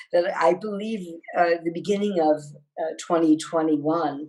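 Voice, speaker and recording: Her fairly low-pitched voice has a dark, mellow tone as this woman speaks at a moderate pace with fairly even intonation. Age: 60s. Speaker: wellness researcher and company founder. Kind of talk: video interview. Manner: halting.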